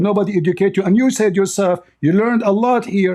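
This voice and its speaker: Speaking very fast with an Arabic accent, a man has a high, dark and mellow voice. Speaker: religious debater. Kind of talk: heated debate. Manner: animated.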